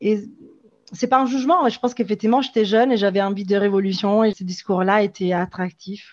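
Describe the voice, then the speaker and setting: This woman speaks fairly quickly at a medium pitch, her pitch varying in an ordinary way. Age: 30s. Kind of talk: testimony. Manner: halting.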